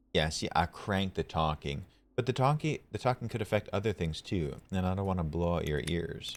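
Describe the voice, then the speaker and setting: This man's voice sits very deep and low, with lively intonation and a fairly quick pace. The recording is very clean, the background silent. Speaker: streamer. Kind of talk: live gaming stream. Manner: loud; animated.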